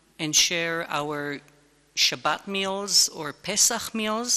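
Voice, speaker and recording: Very slow speech in an Israeli accent. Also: woman. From Israel, Jerusalem. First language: Hebrew. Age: 60s. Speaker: lecturer on interreligious relations. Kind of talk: lecture.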